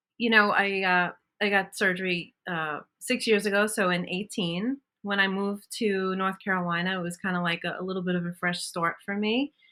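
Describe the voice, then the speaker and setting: With a bright, sharp tone, a woman talks at a moderate pace in a medium pitch and fairly even intonation. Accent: Brooklyn. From Brooklyn, New York. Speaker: bariatric surgery patient and bodybuilder. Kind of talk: podcast interview.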